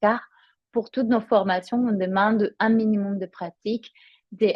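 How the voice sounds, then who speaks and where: Speaking with a Spanish accent, a woman uses a medium pitch and a somewhat breathy voice. Her pace is fairly slow and her intonation monotone and flat. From Spain. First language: Spanish (speaking French). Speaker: yoga teacher. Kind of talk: promotional presentation. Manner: hesitant, many fillers.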